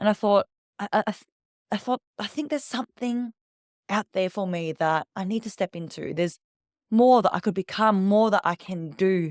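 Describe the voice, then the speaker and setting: In an Australian accent, a woman speaks at a moderate pace and a medium pitch with ordinary pitch variation, in a dry, close sound with no echo on a very clean recording with a silent background. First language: Vietnamese. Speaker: public speaking coach. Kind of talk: interview storytelling. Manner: animated.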